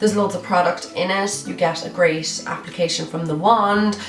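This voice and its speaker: Over noticeable background noise, a woman with an Irish accent speaks in an upbeat tone at a medium pitch. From Ireland. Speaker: beauty vlogger. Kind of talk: casual talk to camera. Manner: chatty, upbeat.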